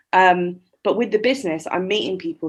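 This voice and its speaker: A woman speaks with an English accent. Her pitch is fairly low and her intonation fairly even. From England (Shropshire, West Midlands). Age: 20s. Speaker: poet and small business owner. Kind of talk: podcast interview.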